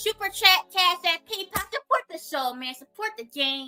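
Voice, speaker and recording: A woman's raised, projected voice in an animated tone at a moderate pace, with music in the background. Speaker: livestreamer, commentary YouTuber. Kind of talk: casual livestream chat. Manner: loud.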